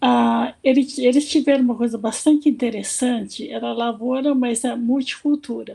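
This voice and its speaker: A woman speaks in a high pitch with a dark, mellow tone. Her intonation is monotone and flat, with hardly any pauses. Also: moderate pace. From Brazil, Marília, São Paulo state (Japanese-Brazilian family). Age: 70s. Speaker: panelist. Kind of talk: personal life story.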